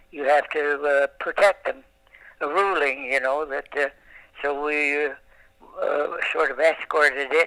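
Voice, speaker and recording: A man with a fairly high voice speaks slowly, with fairly even intonation and long, frequent pauses. The sound is dry and close with no echo, though background noise is noticeable. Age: 80s+. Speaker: Second World War navy veteran. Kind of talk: interview answer. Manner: hesitant, halting.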